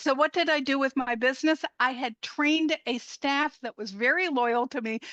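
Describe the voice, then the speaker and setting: A woman's high-pitched, bright, sharp voice at a moderate pace, with ordinary pitch variation and a dry, close sound with no echo. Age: 70s. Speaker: health coach. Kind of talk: interview. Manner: animated.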